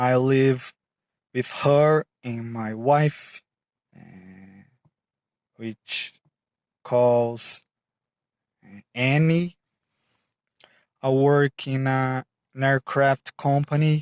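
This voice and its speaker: Speaking very slowly with a Brazilian Portuguese accent, this voice has fairly even intonation, big swings in loudness, and long, frequent pauses. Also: man, medium pitch for a man. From Brazil, São Paulo state. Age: 20s. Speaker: mechanical engineer, English learner. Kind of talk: self-introduction video. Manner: halting, with frequent fillers.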